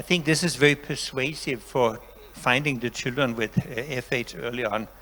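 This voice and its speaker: At a moderate pace, a man with a Danish accent speaks with ordinary pitch variation. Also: medium pitch for a man. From Denmark. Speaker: professor. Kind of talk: lecture.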